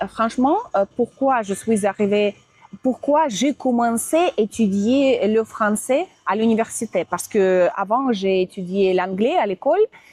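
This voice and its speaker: A woman in a Russian accent at a very slow pace, with very even loudness and a dry, close sound with no echo. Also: fairly high pitch for a woman, lively intonation. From Russia, Moscow. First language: Russian (speaking French). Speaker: interviewee, language teacher. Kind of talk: interview. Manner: halting.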